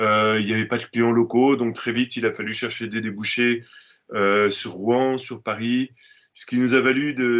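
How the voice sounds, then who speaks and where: A man's intonation stays monotone and flat as he talks at a moderate speed. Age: 60s. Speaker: organic farmer. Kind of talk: interview. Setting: video call. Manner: halting, frequent hesitations.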